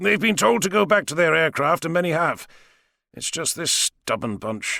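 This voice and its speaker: A man doing a put-on character voice, raspy and high-pitched, swings his pitch very widely at a moderate pace in a dry, close sound with no echo. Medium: read story. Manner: dry, unflappable.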